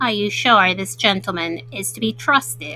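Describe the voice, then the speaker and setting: Over clear background noise, a woman does a put-on character voice at medium pitch, swinging very widely in pitch at a moderate pace. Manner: suspicious.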